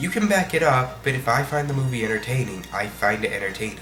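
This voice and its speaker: Over music in the background, a man with an American accent speaks at a moderate pace and medium pitch, with ordinary pitch variation. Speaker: online video reviewer. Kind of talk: video review commentary.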